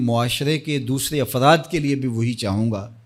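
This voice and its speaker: Recorded very cleanly against a silent background, a man with a plain, everyday voice speaks at medium pitch with lively intonation. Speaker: Islamic scholar giving a sermon. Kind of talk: religious sermon, motivational speech.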